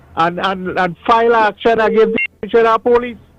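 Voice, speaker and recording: With music in the background, a man speaks with ordinary pitch variation in a dry, close sound with no echo. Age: 60s. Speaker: caller. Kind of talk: call-in radio comment. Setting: phone call to radio. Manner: halting, many repetitions.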